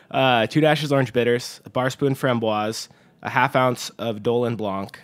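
A man's unremarkable speaking voice at a moderate pace, with ordinary pitch variation, on a very clean recording with a silent background. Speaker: bartender. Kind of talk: casual chat. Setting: studio.

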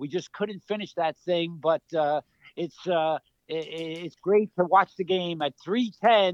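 With a New York accent, a man speaks at a high pitch. His pace is very slow and his intonation fairly even. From New York City (Queens). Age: 70s. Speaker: retired college basketball coach. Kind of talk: interview.

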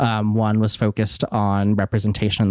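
This is a man with a medium-pitched voice. The sound is dry and close, with no echo. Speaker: podcaster. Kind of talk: casual interview chat. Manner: calm, steady.

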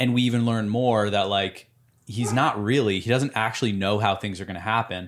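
On a very clean recording with a silent background, a man with an ordinary speaking voice talks at a moderate pace, medium pitch and fairly even intonation. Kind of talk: casual chat.

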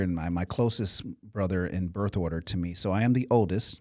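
This man has a plain, everyday voice and an American accent. He talks at a fairly quick pace with ordinary pitch variation, in a very clean recording with a silent background. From US Midwest (Cleveland, Chicago suburbs). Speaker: motivational speaker and youth mentor. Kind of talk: interview.

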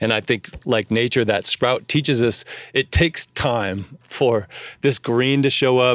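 In a very clean recording with a silent background and a dry, close sound with no echo, a man speaks fairly slowly in an ordinary speaking voice. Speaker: podcast host. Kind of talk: casual interview chat.

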